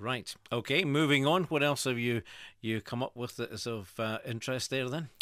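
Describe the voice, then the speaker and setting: In a plain, everyday voice, a man speaks at a medium pitch and moderate pace with ordinary pitch variation, on a very clean recording with a silent background. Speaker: radio presenter. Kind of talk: radio show host talk. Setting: radio studio. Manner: jokey, upbeat.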